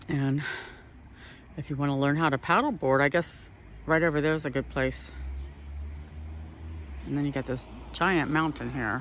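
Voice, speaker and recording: At a moderate pace and with long, frequent pauses, the voice comes through dry with no echo over light background noise. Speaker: walking tour guide / travel vlogger. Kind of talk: casual travel vlog narration. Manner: upbeat, enthusiastic. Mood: enthusiastic, admiring. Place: street. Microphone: phone near.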